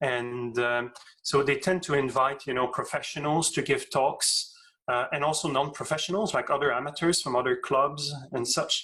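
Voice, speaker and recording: At a moderate pace, a man with a French accent talks in a bright, sharp tone, his fairly high pitch held in fairly even intonation. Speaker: astrophysics professor. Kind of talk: interview Q&A. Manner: halting, many fillers and repeats.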